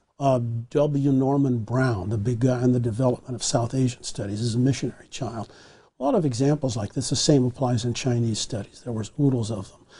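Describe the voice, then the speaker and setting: A man talks at a fairly quick pace and a medium pitch with fairly even intonation. His tone is dark and mellow, and somewhat breathy. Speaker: historian. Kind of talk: long-form interview.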